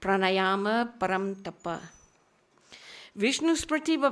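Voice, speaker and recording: On a very clean recording with a silent background, a woman with a non-native accent speaks in lively intonation. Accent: non-native Hindi. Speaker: conference speaker on Indian philosophy. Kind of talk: academic lecture.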